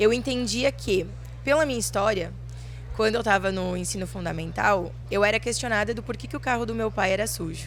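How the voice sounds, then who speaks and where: A woman speaks in a southern Brazilian accent. Music plays behind her, and room echo is audible. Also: fairly quick pace. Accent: gaúcho Brazilian Portuguese. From Rio Grande do Sul countryside, Brazil. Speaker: farmer and young agribusiness leader. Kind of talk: interview. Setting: fair stand.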